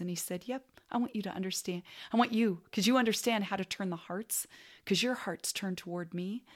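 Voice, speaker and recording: A woman with a medium-pitched voice talks at a fairly quick pace, using ordinary pitch variation. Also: very clean recording, silent background. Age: 60s. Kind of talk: recorded workshop talk. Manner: animated.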